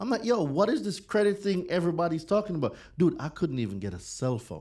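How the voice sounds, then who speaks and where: A man's fairly high voice with vocal fry and very wide pitch swings. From Jamaica. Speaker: credit and consumer law educator. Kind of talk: casual interview. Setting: studio.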